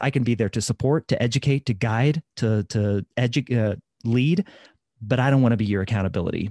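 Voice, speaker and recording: A man with a Midwestern American accent talks at a fairly quick pace with ordinary pitch variation, his sound dry and close with no echo against a quiet background. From US Midwest. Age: 30s. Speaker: fitness coach and podcaster. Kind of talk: interview.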